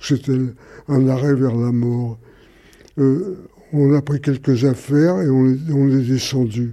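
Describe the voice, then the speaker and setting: A man speaks at a very slow pace with a medium pitch and fairly even intonation. His tone is dark and mellow. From Paris, Belleville. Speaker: Holocaust survivor. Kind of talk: testimony.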